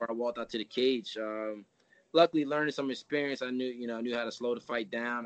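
A man with an American accent, a medium pitch and fairly even intonation at a very fast pace. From US Northeast, New Jersey. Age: 30s. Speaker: MMA fighter. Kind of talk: interview. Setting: coach's office.

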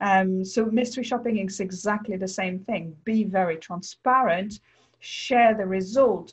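A woman in a French accent, somewhat breathy, at a medium pitch and a fairly slow pace, with fairly even intonation. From France. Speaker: mystery shopping business owner and author. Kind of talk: interview.

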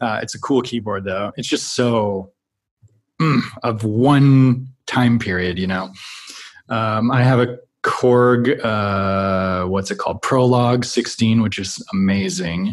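Very slow speech from a man with an American accent, medium pitch and ordinary pitch variation. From US Midwest (Minnesota, Wyoming). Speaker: film and TV composer. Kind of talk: casual interview chat.

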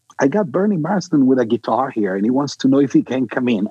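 A man with an Italian accent speaks at a very fast pace, his medium-pitched voice full of lively intonation. The sound is dry and close with no echo. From Milan, Italy. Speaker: bassist and record producer. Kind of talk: interview.

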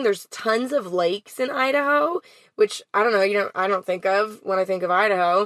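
At a moderate pace and medium pitch, a woman talks in a normal speaking voice with ordinary pitch variation, her sound dry and close with no echo. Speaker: van life podcast co-host. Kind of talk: casual interview chat. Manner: playful, chatty.

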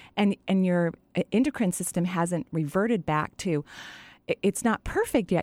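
A woman speaks at a moderate pace in a plain, everyday voice with fairly low pitch and ordinary variation. The sound is dry and close, with no echo. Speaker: radio host and energy healer. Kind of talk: call-in radio show. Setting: studio.

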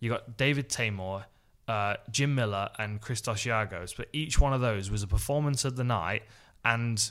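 A man talks at medium pitch and a moderate pace with ordinary pitch variation. The recording is very clean, with a silent background. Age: 30s. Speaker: MMA podcast co-host. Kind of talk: casual chat.

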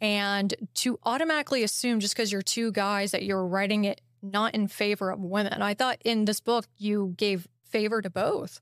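In a very clean recording with a silent background and a dry, close sound with no echo, a woman speaks in an ordinary speaking voice at medium pitch and a moderate pace, with very even loudness, fairly even intonation and hardly any pauses. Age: 30s. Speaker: podcast host. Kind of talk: casual interview.

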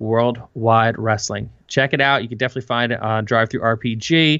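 In a quiet background, a man with an American accent speaks at a moderate pace in a bright, sharp tone. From US Northeast. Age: 40s. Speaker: podcast host and game master. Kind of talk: casual interview chat. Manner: animated.

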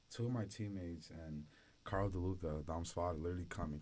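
This man has a very deep, low pitch and sounds somewhat breathy. His intonation stays fairly even. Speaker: student podcast co-host, college football player. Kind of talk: casual chat.

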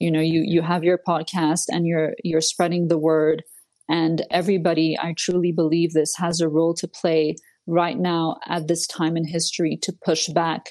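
Here a woman with a French accent speaks in a fairly low, monotone voice with flat intonation. The background is quiet. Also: moderate pace. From Switzerland. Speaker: political commentator. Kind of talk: interview. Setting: remote call.

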